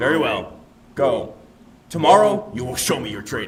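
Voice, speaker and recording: A man puts on a gruff character voice at a fairly high pitch, with very wide pitch swings. He keeps a moderate pace. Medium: video game. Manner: commanding, gruff.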